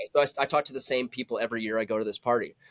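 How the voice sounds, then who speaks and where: In a very clean recording with a silent background, a man talks very fast, the sound dry and close with no echo. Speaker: musician, singer-songwriter. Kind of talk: casual interview chat. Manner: animated, casual.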